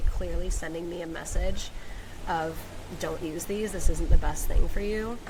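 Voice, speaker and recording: A woman keeps a moderate pace while noticeable background noise fills the space around her. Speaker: podcast host, women's coach. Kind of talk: personal storytelling podcast. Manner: laid-back, emotional.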